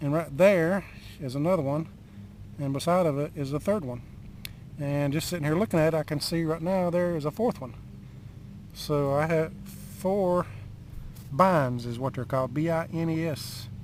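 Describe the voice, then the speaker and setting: A man at a moderate pace, fairly high in pitch with ordinary pitch variation, with long, frequent pauses. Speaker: home brewing vlogger. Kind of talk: casual vlog monologue. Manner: rambling, halting with fillers.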